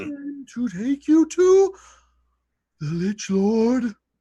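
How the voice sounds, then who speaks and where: A put-on character voice, fairly high in pitch, moves through very wide pitch swings at a very slow pace. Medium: actual play.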